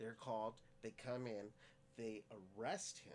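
A normal speaking voice from a man with an American accent, fairly low in pitch, with ordinary pitch variation. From Stockton, California. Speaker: podcast co-host. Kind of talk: casual chat.

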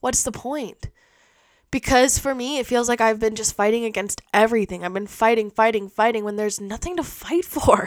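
Her tone is animated and her pitch fairly high. The woman keeps a moderate pace. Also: ordinary pitch variation. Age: 20s. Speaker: podcast host. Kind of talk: casual monologue.

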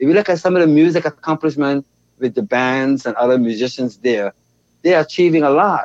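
A man with a Bahamian accent talks at a fairly quick pace, his pitch fairly high and his intonation lively. The sound is dry and close, with no echo. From Bahamas, Nassau. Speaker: dance educator and choreographer. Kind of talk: interview conversation.

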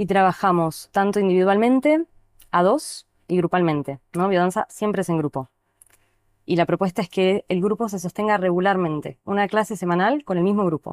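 At a moderate pace, a woman in a normal speaking voice, with medium pitch and ordinary pitch variation, is heard in a dry, close recording with no echo. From Neuquén, Argentina. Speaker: dance therapy teacher. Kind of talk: casual chat.

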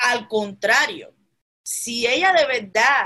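A woman speaks in a bright, sharp, animated tone. Her pitch swings very widely. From Cuba. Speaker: political podcast host. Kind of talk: political commentary.

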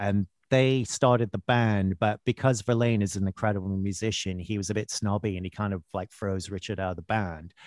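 With hardly any pauses, an ordinary speaking voice moves at a fairly quick pace with fairly even intonation, in a very clean recording that is dry and close with no echo and a silent background. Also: man, fairly low pitch for a man. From Canada (Vancouver). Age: 50s. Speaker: actor and singer-songwriter. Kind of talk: casual chat. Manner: laughs often.

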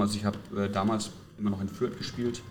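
A man talks in a fairly low pitch with a slight southern German accent. His intonation is flat and monotone, and room echo can be heard. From Franconia, Germany (near Nuremberg). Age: 40s. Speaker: youth football coach. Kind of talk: casual chat. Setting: hotel lobby. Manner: halting.

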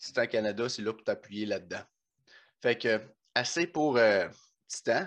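A man's medium-pitched voice at a fairly slow pace, with ordinary pitch variation, long, frequent pauses and a quiet background. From Quebec, Bas-Saint-Laurent. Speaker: podcast host, powerlifter. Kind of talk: sponsor read; casual chat. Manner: animated.

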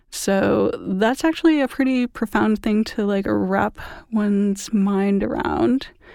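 A woman with medium pitch speaks in a normal speaking voice. Her pace is fairly slow, with ordinary pitch variation. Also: very clean recording, silent background. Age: 30s. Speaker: artist and former fashion illustrator. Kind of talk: interview conversation. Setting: recording studio.

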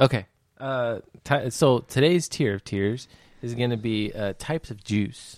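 Speaking at a fairly slow pace, a man uses an unremarkable speaking voice, medium in pitch, with ordinary pitch variation. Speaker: podcast host. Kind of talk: casual banter. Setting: studio. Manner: joking, laughs often.

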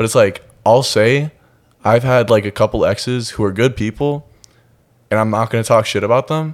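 With long, frequent pauses, a man with an American accent talks at a moderate pace in a medium pitch with fairly even intonation. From US Midwest, Minnesota. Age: 20s. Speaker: fitness competitor. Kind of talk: casual chat. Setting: studio. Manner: monotone.

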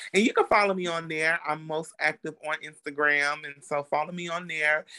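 A man with an American accent talks fairly quickly in a high, bright, sharp voice with monotone, flat intonation. The sound is dry and close with no echo, over a quiet background. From Chicago. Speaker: entrepreneur. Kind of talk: casual chat.

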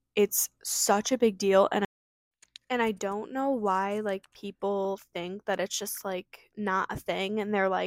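At a fairly slow pace, a normal speaking voice comes through with a dry, close sound with no echo, on a very clean recording with a silent background. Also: woman. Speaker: solo podcaster. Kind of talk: casual monologue. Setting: home recording.

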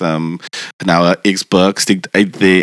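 A man's very deep, low voice in a monotone, flat delivery, with a dry, close sound and no echo. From Cape Town, South Africa. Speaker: podcast co-host. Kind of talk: casual chat.

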